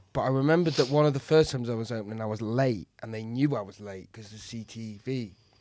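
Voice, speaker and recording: The voice is dark and mellow with a Mancunian accent, racing at a very fast pace with hardly any pauses and big swings in loudness. The recording is very clean, with a silent background. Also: man, medium pitch for a man, ordinary pitch variation. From Manchester, northern England. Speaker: comedian. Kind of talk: casual chat. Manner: halting.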